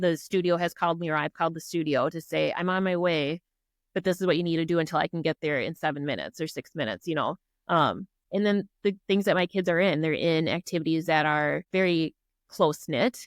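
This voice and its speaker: A woman with a strong Minnesota accent talks at a fairly quick pace, her fairly low voice keeping fairly even intonation. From Minnesota (Prior Lake). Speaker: army officer and business owner. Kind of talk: podcast interview.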